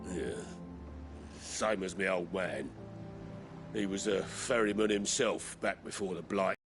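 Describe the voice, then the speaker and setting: A man does a raspy, put-on character voice with fairly low pitch, a fairly slow pace and long, frequent pauses. Faint music plays in the background. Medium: video game. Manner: blunt, salty.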